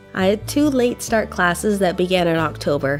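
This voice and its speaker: With music in the background, a woman talks at a moderate pace using lively intonation. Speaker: artist and art student. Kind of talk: casual talk to camera.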